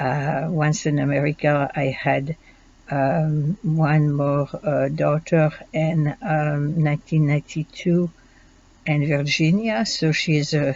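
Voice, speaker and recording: A woman's very deep, low voice, very slow and fairly even in intonation, in a French accent. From Belgium. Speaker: student. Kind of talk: self-introduction. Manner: halting, many fillers.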